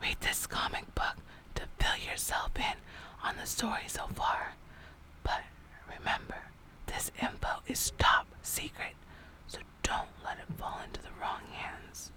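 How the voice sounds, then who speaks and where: A woman whispers fairly slowly, leaving long, frequent pauses, with noticeable background noise around her. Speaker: storytime reader / ASMR channel host. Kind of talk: ASMR audiobook reading of a children's novel.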